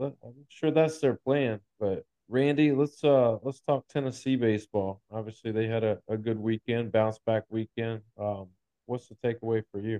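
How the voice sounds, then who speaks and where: With an unremarkable speaking voice, a man talks at a moderate pace and medium pitch with fairly even intonation. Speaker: sports podcast host. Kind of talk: casual sports chat.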